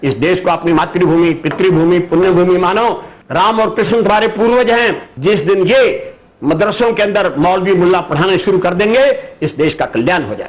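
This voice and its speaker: Over noticeable background noise, a man talks in a voice pitched high for a man. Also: ordinary pitch variation. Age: 80s+. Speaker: political commentator. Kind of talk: interview. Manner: forceful.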